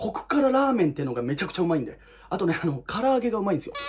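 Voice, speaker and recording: Animated in tone, a man speaks with very wide swings in pitch. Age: 20s. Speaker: YouTuber. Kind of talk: casual ranking monologue.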